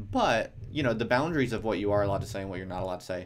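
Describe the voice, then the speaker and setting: The background is silent in this very clean recording. A man talks in a fairly low voice. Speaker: academic and livestreamer. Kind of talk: casual livestream talk. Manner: soft-spoken. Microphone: audio low, speaking close to mic.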